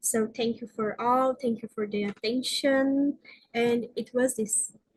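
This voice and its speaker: In a Brazilian Portuguese accent, a woman speaks in a high pitch with monotone, flat intonation. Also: fairly slow pace. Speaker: researcher. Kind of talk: conference presentation; Q&A answer. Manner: halting.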